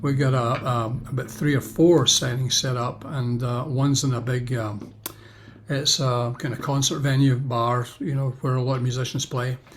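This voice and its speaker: Speaking at a moderate pace, a man sounds somewhat breathy, with monotone, flat intonation. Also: medium pitch for a man. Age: 70s. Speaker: pastor and author. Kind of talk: interview answer.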